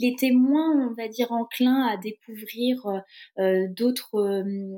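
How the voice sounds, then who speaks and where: Here a woman talks at a very slow pace. Her pitch is fairly high and her intonation fairly even. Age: 30s. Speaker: single mother and traveller. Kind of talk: casual interview. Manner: hesitant, with many fillers.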